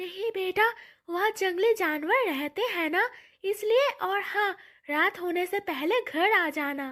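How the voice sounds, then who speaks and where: A cartoonish character voice moves at a fairly slow pace with lively intonation. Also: woman, extremely high pitch for a woman. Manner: gentle, warm.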